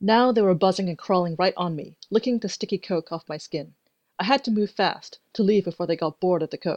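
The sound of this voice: An unforced reading voice with ordinary pitch variation, against a quiet background.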